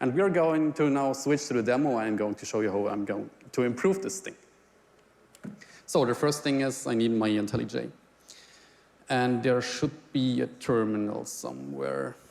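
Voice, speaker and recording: A man with a German accent speaks at a moderate pace and a medium pitch, using ordinary pitch variation and long, frequent pauses. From Germany. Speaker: software engineer. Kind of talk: live demo presentation. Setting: stage with audience.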